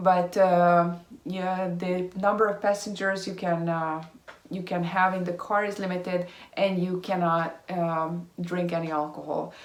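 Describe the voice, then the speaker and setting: In a Hungarian accent, a woman speaks slowly at medium pitch with monotone, flat intonation. Noticeable background noise and audible room echo surround her. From Hungary. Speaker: vlogger. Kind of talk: casual vlog update. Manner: halting, many fillers.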